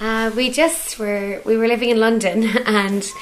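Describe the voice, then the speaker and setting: A woman with a Cork accent speaks with fairly even intonation over noticeable background noise. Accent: Cork Irish. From Ireland, Cork (Bandon). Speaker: island caretaker. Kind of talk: casual interview.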